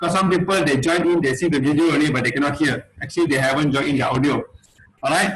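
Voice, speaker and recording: Very fast and very even in loudness, a man's fairly high voice keeps a fairly even intonation over noticeable background noise. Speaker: meeting host. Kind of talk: online meeting presentation.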